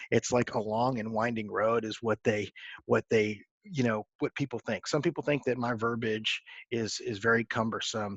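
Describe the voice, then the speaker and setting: Here is a man with a normal speaking voice, medium pitch and fairly even intonation, at a moderate pace in an American accent. The sound is dry and close with no echo, over a quiet background. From Texas. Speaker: football coach. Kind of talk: coaching clinic presentation.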